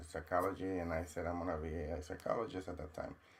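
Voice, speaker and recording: A man speaks with a Mexican accent. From Mexico. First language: Spanish. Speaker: trauma counselor and university dean. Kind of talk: podcast interview.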